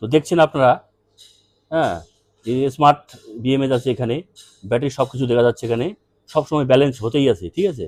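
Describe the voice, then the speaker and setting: A man speaks in a normal speaking voice at a medium pitch with ordinary pitch variation, and the sound is dry and close with no echo. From North Bengal, India (Dhupguri, Jalpaiguri). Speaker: EV battery seller and YouTuber. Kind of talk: product demo video. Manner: casual, repetitive fillers.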